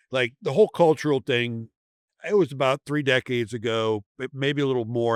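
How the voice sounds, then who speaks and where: A man speaks in an unremarkable speaking voice at a fairly quick pace. His medium pitch shows ordinary variation. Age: 60s. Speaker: special operations veteran. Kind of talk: casual chat. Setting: trade show booth.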